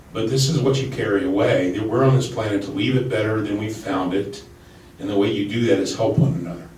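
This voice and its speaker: A man with a fairly low pitch talks at a very fast pace, with audible room echo and noticeable background noise. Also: ordinary pitch variation. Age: 60s. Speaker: political candidate. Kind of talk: panel discussion.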